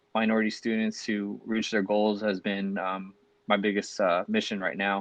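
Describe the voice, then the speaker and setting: A man with a Californian accent, fairly low in pitch, at a moderate pace. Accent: Californian American. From Long Beach, California. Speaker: physician assistant student, podcast co-host. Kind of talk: casual podcast chat.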